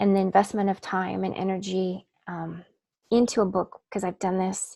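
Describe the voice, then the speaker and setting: In a dark, mellow tone, a woman speaks at a moderate pace with medium pitch and monotone, flat intonation. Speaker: author and book coach. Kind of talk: webinar workshop presentation. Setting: online webinar.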